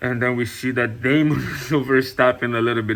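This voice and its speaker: Speaking at a moderate pace over noticeable background noise, a man uses a medium pitch and fairly even intonation. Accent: non-native. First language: not English. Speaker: TV review youtuber. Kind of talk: casual video review. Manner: hesitant, many fillers.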